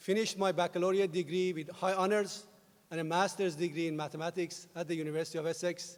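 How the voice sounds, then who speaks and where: Someone talks very fast in a Persian accent with a monotone, flat intonation. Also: man. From Iran. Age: 50s. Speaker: university president. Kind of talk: commencement speech.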